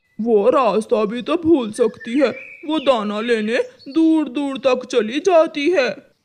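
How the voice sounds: This is a cartoonish character voice, fairly high in pitch. It moves at a fairly slow pace.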